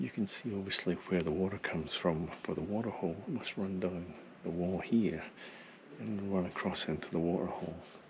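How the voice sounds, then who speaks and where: The speaker is a man with a very deep, low pitch. He moves at a fairly quick pace. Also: ordinary pitch variation. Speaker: travel photography vlogger. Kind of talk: on-location vlog narration. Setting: outdoors in a gorge. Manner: whispering.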